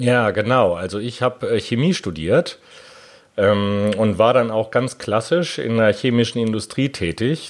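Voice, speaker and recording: A medium-pitched man talks at a very slow pace with ordinary pitch variation. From Germany, Hanover. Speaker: patent attorney. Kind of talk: interview.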